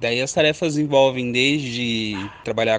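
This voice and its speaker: A man's unremarkable speaking voice at a fairly slow pace, with fairly even intonation. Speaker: history teacher. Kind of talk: interview testimony.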